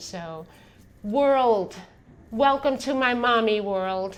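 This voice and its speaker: A woman with an American accent and lively intonation, at a very slow pace, with audible room echo. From New York. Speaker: podcast host. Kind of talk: casual conversation.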